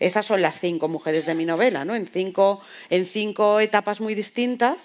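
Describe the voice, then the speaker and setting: A woman's normal speaking voice at medium pitch and moderate pace, with ordinary pitch variation. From Spain. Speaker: novelist. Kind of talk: panel discussion.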